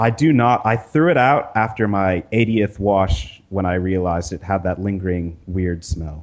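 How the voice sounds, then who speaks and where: Ordinary pitch variation, an American accent, a moderate pace and hardly any pauses. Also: man, fairly low pitch for a man. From US, Northern California. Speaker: designer and programmer. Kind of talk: casual chat. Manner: halting, with fillers.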